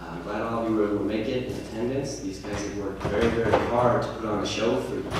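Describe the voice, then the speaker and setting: There is noticeable background noise and audible room echo as a man talks at a fairly quick pace and medium pitch with ordinary pitch variation. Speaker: show director introducing a performance. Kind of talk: stage introduction to an audience. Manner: soft, whispering.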